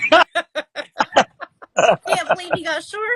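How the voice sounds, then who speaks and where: A woman with a Southern US accent speaks at an extremely high pitch in a bright, sharp tone. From Alabama. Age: 60s. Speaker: podcast host. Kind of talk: casual interview.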